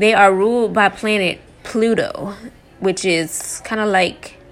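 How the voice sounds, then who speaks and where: A woman speaks at a very slow pace in a warm tone. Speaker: tarot reader. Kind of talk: casual tarot reading podcast. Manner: casual, filler words, warm; energetic.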